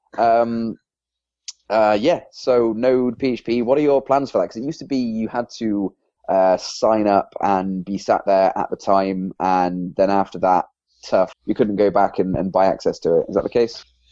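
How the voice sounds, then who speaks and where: In an English accent, a man speaks at a moderate pace with a medium pitch, ordinary pitch variation and a dark, mellow tone. The sound is dry and close with no echo, over a quiet background. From England. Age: 20s. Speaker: podcast co-host and PHP developer. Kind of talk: casual podcast interview.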